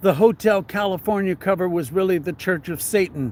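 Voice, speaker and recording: A man speaks loud and at a high pitch. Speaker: religious commentator, novelist. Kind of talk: reading aloud from own novel with commentary.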